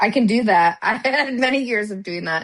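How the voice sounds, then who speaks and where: A woman with an American accent at a fairly quick pace, ordinary pitch variation, and a quiet background. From US Midwest. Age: 50s. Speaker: podcast co-host, former police officer. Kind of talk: casual chat. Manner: animated.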